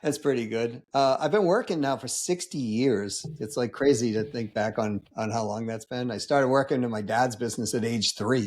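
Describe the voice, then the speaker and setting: A man with an unremarkable speaking voice, ordinary pitch variation, a moderate pace and hardly any pauses. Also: medium pitch for a man. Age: 60s. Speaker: business consultant and sales coach. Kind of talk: podcast interview. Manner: casual, with many fillers and repetitions.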